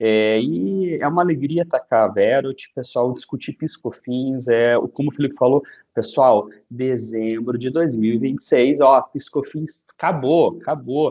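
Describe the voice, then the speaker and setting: With a strong Paraná accent, a man talks fairly slowly in a dark, mellow tone and ordinary pitch variation. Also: medium pitch for a man. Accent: strong interior Paraná. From interior of Paraná, Brazil. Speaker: tax lawyer and accountant. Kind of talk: webinar presentation. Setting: online webinar.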